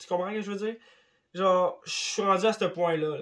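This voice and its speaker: The man's voice sits at a high pitch. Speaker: YouTuber. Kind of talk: casual vlog monologue. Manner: animated.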